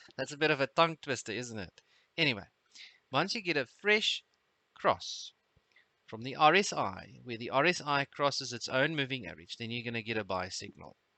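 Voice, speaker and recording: Lively intonation marks a man speaking with a South African accent at medium pitch. His loudness swings widely. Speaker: trading webinar host. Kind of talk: live trading webinar tutorial. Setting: live webinar. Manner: hesitant, many fillers.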